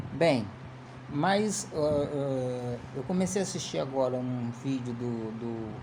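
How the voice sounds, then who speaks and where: At a very slow pace, a man speaks at a medium pitch amid noticeable background noise and audible room echo. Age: 50s. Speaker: political commentator. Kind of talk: casual political commentary monologue. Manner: halting, many repeated fillers.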